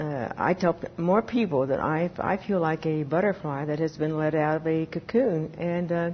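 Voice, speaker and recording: Ordinary pitch variation in a woman's somewhat breathy voice. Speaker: person who stutters, former stuttering therapy client. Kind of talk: interview answer.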